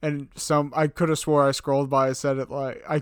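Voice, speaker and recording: Fairly high in pitch, a man talks in an ordinary speaking voice with fairly even intonation. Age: 30s. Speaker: podcast co-host recapping reality TV. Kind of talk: casual chat.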